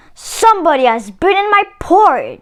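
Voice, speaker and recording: A woman performs a put-on character voice with a growl at an extremely high pitch. Her pitch swings very widely. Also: moderate pace. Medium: read story. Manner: gruff, indignant.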